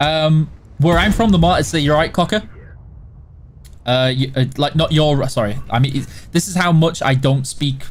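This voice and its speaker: Somewhat breathy in tone, this voice shows ordinary pitch variation. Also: man. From Yorkshire, England (West/South Yorkshire border, near Barnsley). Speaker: game company livestream host. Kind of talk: live gaming stream, reading and answering chat. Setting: live stream. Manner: casual, chatty.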